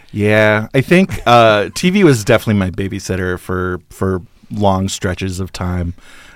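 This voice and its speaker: A man with an American accent speaks in a normal speaking voice, fairly low, at a moderate pace with fairly even intonation. The recording is very clean with a silent background. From Northern California and Alaska. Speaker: film columnist and programmer. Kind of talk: casual interview.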